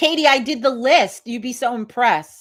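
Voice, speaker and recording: A loud woman in a New York accent, animated in tone and moderate in pace, on a very clean recording with a silent background. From Hudson Valley, New York. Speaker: livestream host, witch society founder. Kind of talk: casual livestream chat. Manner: loud, animated.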